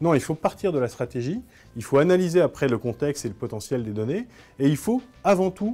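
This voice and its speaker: The man's dark, mellow tone moves with lively intonation. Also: very clean recording, silent background. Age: 30s. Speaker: blogger and communications agency director. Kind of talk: conference talk.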